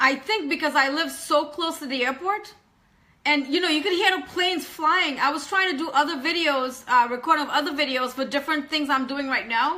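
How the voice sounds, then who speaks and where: With a high pitch and a bright, sharp tone, a woman projects her raised voice energetically at a fairly quick pace, using ordinary pitch variation. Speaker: online business coach. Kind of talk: live stream chat. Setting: home live video. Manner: fast.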